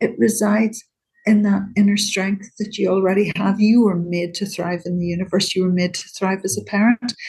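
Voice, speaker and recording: Somewhat breathy, a woman with a Northern Irish accent speaks at a moderate pace and medium pitch with fairly even intonation. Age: 60s. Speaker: CBT therapist. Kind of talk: interview.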